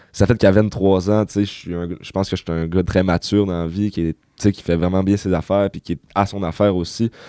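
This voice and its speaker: Against a quiet background, a man talks at a fairly quick pace in a very deep, low voice with a dark, mellow tone and monotone, flat intonation, the sound dry and close with no echo. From Quebec, Saguenay (Chicoutimi). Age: 20s. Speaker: youth social worker, former addict. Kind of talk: personal testimony in interview.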